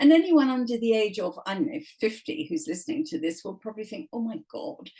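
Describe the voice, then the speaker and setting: Pitched high with very wide pitch swings, a woman with an English accent speaks fairly quickly in a dark, mellow tone. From England. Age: 70s. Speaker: author. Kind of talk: casual chat. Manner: animated.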